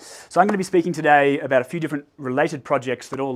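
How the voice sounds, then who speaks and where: Recorded very cleanly against a silent background, a man speaks with an Australian accent and ordinary pitch variation. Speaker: researcher. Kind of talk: lecture. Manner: hesitant, many fillers.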